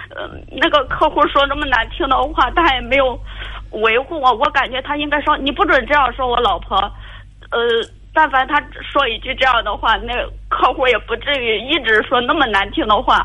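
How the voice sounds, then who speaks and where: High pitch and ordinary pitch variation in a woman's speech. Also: moderate pace. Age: 30s. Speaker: caller seeking relationship advice. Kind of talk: phone-in advice call. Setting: phone call. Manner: halting.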